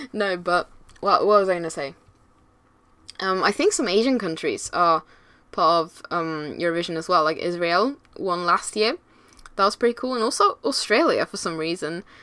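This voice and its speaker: Her tone animated and bright, sharp, a woman at a medium pitch shows ordinary pitch variation, big swings in loudness, and long, frequent pauses. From Europe. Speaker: gaming YouTuber. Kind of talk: casual voiceover chat. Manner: fast.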